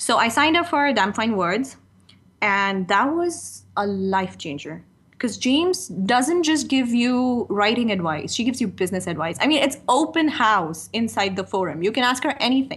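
The speaker's pitch swings very widely, with vocal fry. The pace is moderate. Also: woman, fairly high pitch for a woman. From Pakistan. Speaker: freelance writer. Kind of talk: casual interview.

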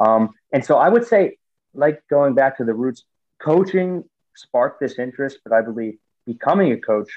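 An unremarkable speaking voice from a man with an American accent and ordinary pitch variation. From US, Pittsburgh, Pennsylvania. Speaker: football coach and author. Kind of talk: interview conversation. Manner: many filler words.

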